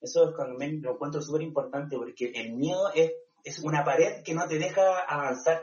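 A man's normal speaking voice, fairly high in pitch, with ordinary pitch variation and a moderate pace. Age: 30s. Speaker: nurse. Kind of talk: interview.

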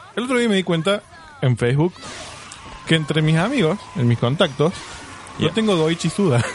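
At a moderate pace and a high pitch, a man speaks with lively intonation and long, frequent pauses over noticeable background noise. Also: very even loudness. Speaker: podcast co-host. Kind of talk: casual chat.

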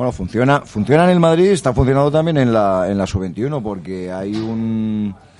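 A man with an unremarkable speaking voice talks at a medium pitch and moderate pace, with lively intonation and hardly any pauses. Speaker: sports journalist. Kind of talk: round-table debate. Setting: restaurant.

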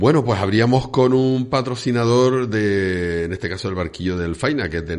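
A man speaks with lively intonation. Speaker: radio host. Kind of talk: casual chat. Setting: studio.

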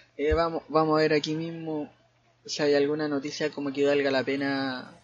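This man talks in a Chilean accent, his fairly high pitch held in a monotone, flat intonation. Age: 20s. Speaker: podcaster. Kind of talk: casual chat. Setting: at home. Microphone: new microphone.

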